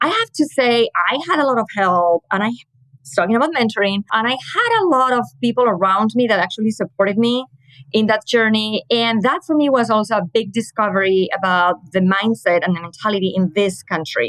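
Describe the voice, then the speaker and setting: A woman with a Spanish accent talks in a fairly high voice with lively intonation and hardly any pauses. The sound is dry and close, with no echo. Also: fairly quick pace. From Spain, Madrid. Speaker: communications manager. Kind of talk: interview.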